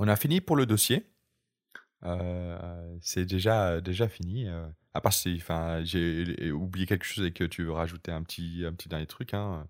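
Over a very clean recording with a silent background, a man talks with a very deep, low pitch. His pace is fairly slow and his intonation fairly even. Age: 30s. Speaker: podcast host. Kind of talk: casual chat. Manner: halting.

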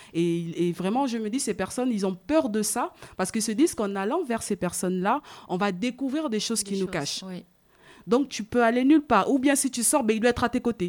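On a very clean recording with a silent background, a woman with a fairly high pitch speaks at a fairly quick pace with lively intonation. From Africa. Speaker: podcast co-host. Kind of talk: casual discussion. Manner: hesitant, many fillers.

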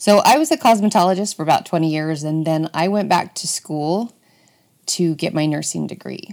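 Talking at a moderate pace, a woman has a fairly low pitch and ordinary pitch variation. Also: very clean recording, silent background. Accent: Utah. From Utah. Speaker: podcast host, former nurse. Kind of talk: solo monologue.

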